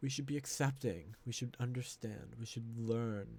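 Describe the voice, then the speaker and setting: A man is speaking here. His voice is somewhat breathy, with fairly even intonation. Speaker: podcaster. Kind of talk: solo unscripted podcast monologue. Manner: reflective, thinking aloud.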